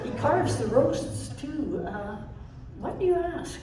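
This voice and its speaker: Using a put-on character voice, a woman speaks at a fairly slow pace with clear echo and clear background noise. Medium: stage play. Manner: polite, chatty, slightly prim.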